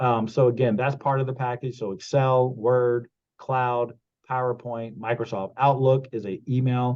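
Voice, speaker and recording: The speaker is a man with a medium pitch. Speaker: computer skills instructor. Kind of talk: online class tutorial. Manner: casual with many fillers; fast.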